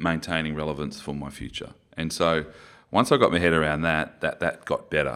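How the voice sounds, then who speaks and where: On a very clean recording with a silent background, a man with an Australian accent speaks in a very deep, low pitch with fairly even intonation. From Queensland, Australia. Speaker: former rugby player. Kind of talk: interview conversation. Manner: articulate.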